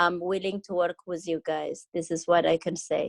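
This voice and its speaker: A woman with a non-native accent speaks at a medium pitch in a flat monotone, the sound dry and close with no echo. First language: not English. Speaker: greenhouse owner. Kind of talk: community video meeting. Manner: halting.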